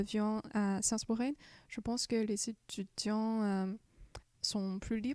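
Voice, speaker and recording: In a dry, close recording with no echo and a silent background, a woman speaks very slowly at a fairly high pitch, her dark, mellow tone delivered in a flat monotone. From China. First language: Chinese (speaking French). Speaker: exchange student. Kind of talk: interview. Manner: halting, many hesitations.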